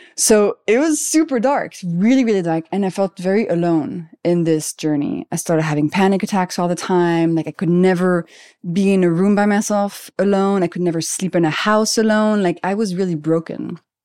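With a French accent and hardly any pauses, a woman speaks in a dark, mellow tone with ordinary pitch variation, the sound dry and close with no echo on a very clean recording with a silent background. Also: medium pitch for a woman, moderate pace. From France (Paris). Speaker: biochemist and health author. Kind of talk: casual interview chat.

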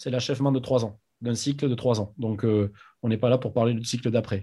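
A somewhat breathy man at a medium pitch, with a dark, mellow tone and a fairly quick pace. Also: quiet background. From France, Agen. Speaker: rugby club president. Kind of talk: interview.

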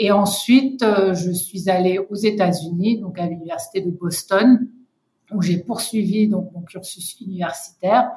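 Speaking at a fairly slow pace with a medium pitch, a woman keeps a fairly even intonation while her loudness swings widely. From Senegal and Côte d'Ivoire, with US mother. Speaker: founder and director of an advocacy organisation. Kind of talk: interview. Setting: remote recording. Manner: hesitant, many fillers.

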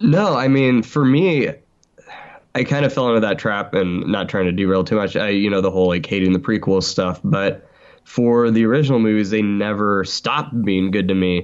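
An unremarkable speaking voice keeps a very even loudness and ordinary pitch variation. The background is quiet. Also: man, fairly low pitch for a man, moderate pace. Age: 20s. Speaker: podcaster and fan. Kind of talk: casual chat.

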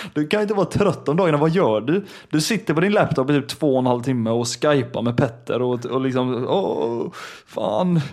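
A man with a plain, everyday voice and a fairly high pitch speaks at a moderate pace with lively intonation and very even loudness. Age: 20s. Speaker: podcast co-host. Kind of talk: casual chat.

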